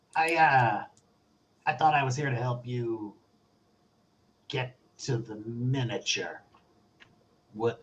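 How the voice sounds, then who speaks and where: Using a put-on character voice, a raspy man speaks at a medium pitch and a fairly slow pace, with fairly even intonation and long, frequent pauses. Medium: actual play. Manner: casual, hedging.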